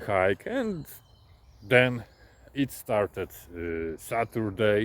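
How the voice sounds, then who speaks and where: Very slow speech with a non-native accent. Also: man. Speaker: truck driver. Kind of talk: casual vlog storytelling. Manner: halting, many hesitations.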